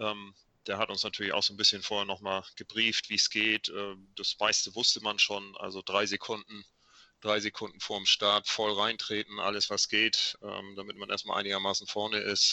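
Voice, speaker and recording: Delivered at a moderate pace, a man's fairly low voice stays in a monotone, flat intonation. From Schleswig-Holstein, northern Germany. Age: 50s. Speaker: amateur triathlete and cyclist. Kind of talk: casual chat.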